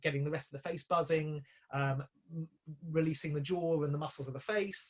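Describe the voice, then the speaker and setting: A fairly high-pitched man, somewhat breathy, at a fairly quick pace with monotone, flat intonation. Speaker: composer and musical director. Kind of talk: online talk. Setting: video call. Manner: fast; hesitant.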